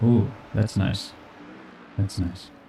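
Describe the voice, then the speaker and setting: Quietly and at a very slow pace, a man speaks in a fairly low voice with fairly even intonation. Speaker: sim racing streamer. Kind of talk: live stream commentary.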